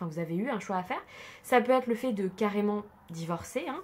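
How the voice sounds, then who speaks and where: A woman with a central French accent. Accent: central French accent, noticeable today. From central France. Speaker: tarot card reader. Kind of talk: tarot reading. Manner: casual with many hesitations; drops mute e sounds.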